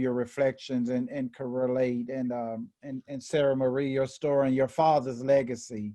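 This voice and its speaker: A man with a Memphis accent has a dark, mellow tone at medium pitch. His intonation is monotone and flat. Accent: Southern US (Memphis). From US South, Memphis, Tennessee. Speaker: equity and inclusion officer. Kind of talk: panel discussion. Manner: halting, many repetitions.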